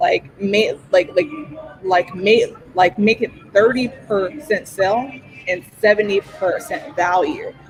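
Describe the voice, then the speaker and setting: Spoken at a very slow pace, the clip carries noticeable background noise. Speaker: social media marketing expert. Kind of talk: panel interview on live stream. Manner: halting, with repetitions.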